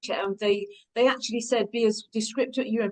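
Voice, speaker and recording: A woman speaks with a British accent and a fairly high pitch. Her pace is fairly quick. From England. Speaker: product manufacturer rep. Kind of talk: webinar panel discussion. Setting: video call.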